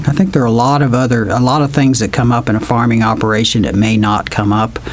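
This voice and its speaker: A man talking at a very fast pace with ordinary pitch variation, amid noticeable background noise and audible room echo. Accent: American. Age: 60s. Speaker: financial adviser. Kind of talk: interview. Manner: halting.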